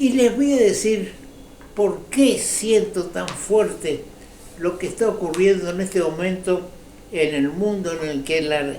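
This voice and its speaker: Here a man with a high pitch speaks at a very slow pace, with ordinary pitch variation. Noticeable background noise and audible room echo are present. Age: 80s+. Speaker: political commentator. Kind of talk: opinion commentary monologue. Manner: halting.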